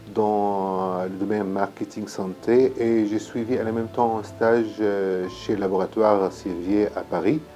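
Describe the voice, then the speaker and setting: A man with an Arabic accent speaks at a fairly low pitch and with fairly even intonation. Music plays in the background. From Syria. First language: Arabic (speaking French). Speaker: pharmacist starting a consulting business. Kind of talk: personal introduction to camera. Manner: halting, many hesitations.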